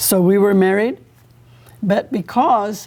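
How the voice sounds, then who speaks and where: Over noticeable background noise, a woman talks at a very slow pace and a medium pitch. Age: 80s+. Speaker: evangelist. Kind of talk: testimony. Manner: conversational.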